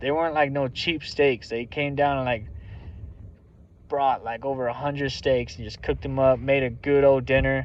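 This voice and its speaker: A man talks at a medium pitch. His intonation stays fairly even. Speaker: military veteran working as lease operator. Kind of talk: casual vlog monologue. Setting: at work. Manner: fast.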